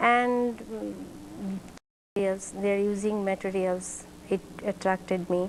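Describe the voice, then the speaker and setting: In a Central Asian accent, the speaker goes fairly slowly with long, frequent pauses and a monotone, flat intonation. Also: woman, medium pitch for a woman. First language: not English. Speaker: teacher. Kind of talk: interview. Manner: halting.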